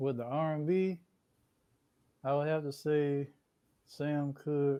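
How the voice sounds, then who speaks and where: Soft-spoken and very slow, a man delivers a flat monotone in a fairly high voice with a dark, mellow tone. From Columbia, South Carolina. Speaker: rapper. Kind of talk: interview.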